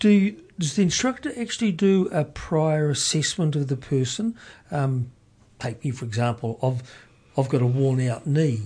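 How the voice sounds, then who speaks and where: A man with a New Zealand accent, fairly high-pitched and somewhat breathy, dark and mellow in tone, with very wide pitch swings at a moderate pace against a quiet background. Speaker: community radio host. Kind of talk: radio interview.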